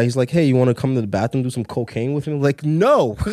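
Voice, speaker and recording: With an American accent, a man has an unremarkable speaking voice at a medium pitch, with fairly even intonation, in a very clean recording with a silent background. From Brooklyn, New York, Trinidadian family. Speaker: video producer and director. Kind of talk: casual chat.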